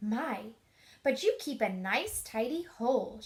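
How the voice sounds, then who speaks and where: Squeaky and high-pitched, a woman's put-on character voice has lively intonation. She speaks at a fairly slow pace. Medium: read story.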